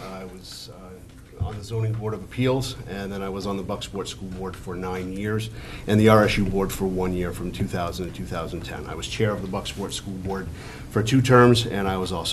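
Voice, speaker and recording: A man speaks at a moderate pace with ordinary pitch variation, while audible room echo and noticeable background noise fill the recording. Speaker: town council candidate. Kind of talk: candidate forum speech. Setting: public forum in high school, with audience. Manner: loud, projecting; hesitant, many fillers.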